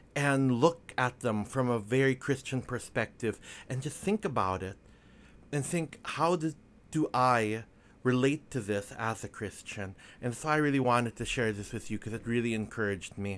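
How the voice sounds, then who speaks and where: Quiet and at a medium pitch, a man speaks at a moderate pace with ordinary pitch variation on a very clean recording with a silent background. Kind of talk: casual devotional reflection. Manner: quiet, hushed. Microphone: microphone very close up.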